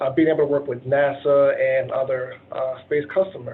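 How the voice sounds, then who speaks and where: In an ordinary speaking voice, a man goes fairly slowly, and his pitch moves in an ordinary way. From Virginia, Dinwiddie County. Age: 30s. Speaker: engineer. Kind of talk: presentation. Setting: video call.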